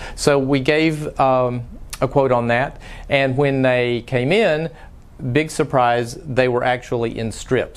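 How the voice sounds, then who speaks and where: Speaking with a Texas accent, a man keeps a fairly slow pace. His pitch is medium and his intonation fairly even. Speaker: frame shop owner. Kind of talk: tutorial. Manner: frequent filler words, some halting.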